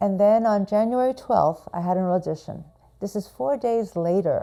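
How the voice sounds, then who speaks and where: In an American accent, a woman talks with a dark, mellow tone at medium pitch. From New York City. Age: 70s. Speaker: actor and stroke patient. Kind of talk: personal testimony.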